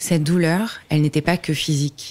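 A woman's very deep, low voice, flat and monotone, at a fairly slow pace. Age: 30s. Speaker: podcast host. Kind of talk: personal testimony.

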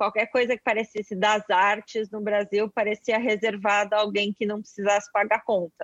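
Against a quiet background, a woman speaks at a moderate pace and medium pitch. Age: 30s. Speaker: journalist and screenwriter. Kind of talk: casual chat.

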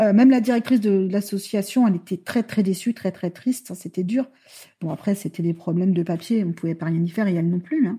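A woman speaks at a fairly quick pace in a medium pitch, somewhat breathy with a dark, mellow tone and ordinary pitch variation, in a very clean recording with a silent background. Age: 40s. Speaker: mother using a wheelchair, adoptive parent. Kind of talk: interview testimony.

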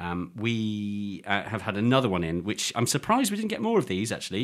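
His voice sits fairly low in pitch. The man has an English accent. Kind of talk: casual chat. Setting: studio.

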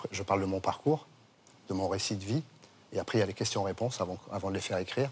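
A man talks at a very fast pace with a fairly low pitch. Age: 60s. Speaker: former bank robber. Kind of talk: interview.

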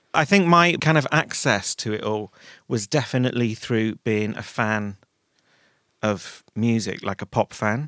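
A man with a Manchester accent speaks at medium pitch and a moderate pace with lively intonation, in a very clean recording with a silent background and a dry, close sound with no echo. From Manchester, northern England. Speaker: fashion stylist and creative director. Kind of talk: casual interview chat.

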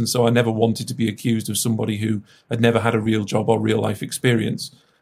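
A man's medium-pitched voice with vocal fry. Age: young. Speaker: regional mayor and politician. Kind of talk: interview.

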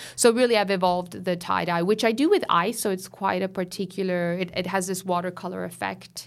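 In a very clean recording with a silent background, a woman with an unremarkable speaking voice talks in an American accent at medium pitch. Her pace is fairly quick with hardly any pauses, and her intonation fairly even. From Miami, Florida (Italian-Venezuelan household). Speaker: fashion designer. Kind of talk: casual interview. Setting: studio.

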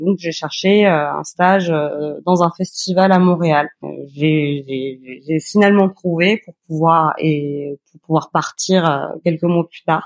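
A woman with fairly low pitch speaks at a very slow pace with fairly even intonation and big swings in loudness, in a dry, close sound with no echo. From Normandy, France (near Évreux). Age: 30s. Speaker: podcast guest, food photographer and blogger. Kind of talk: casual interview. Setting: remote call from Montreal. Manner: halting, many repetitions and fillers.

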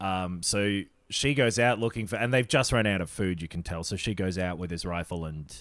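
A man with an Australian accent and a very deep, low pitch talks at a moderate pace with lively intonation. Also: very clean recording, silent background. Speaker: podcast co-host. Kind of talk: casual chat.

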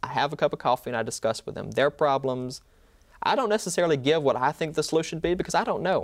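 In a Mississippi accent, a man talks at a very fast pace. His fairly high pitch carries lively intonation. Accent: Southern US (Mississippi). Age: 20s. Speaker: law student and medical survivor. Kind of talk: interview, personal testimony.

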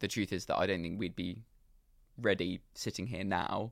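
A man's very deep, low voice with a London accent, fairly even intonation and a moderate pace, in a very clean recording with a silent background. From London, England. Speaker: drinks company founder. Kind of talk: interview.

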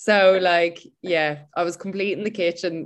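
A woman's fairly low voice with an Irish accent and fairly even intonation. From Ireland. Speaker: personal trainer. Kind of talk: interview conversation.

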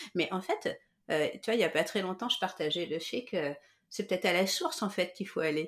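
A woman speaks fairly quickly at a medium pitch, with ordinary pitch variation and an ordinary speaking voice. The recording is very clean, with a silent background. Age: 40s. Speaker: therapist and coach. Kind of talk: casual interview, personal testimony.

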